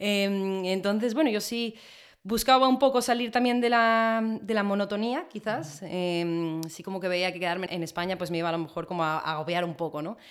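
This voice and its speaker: A woman with an ordinary speaking voice at a medium pitch, ordinary pitch variation and a moderate pace, on a very clean recording with a silent background. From Spain. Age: 20s. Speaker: chef. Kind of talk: interview conversation.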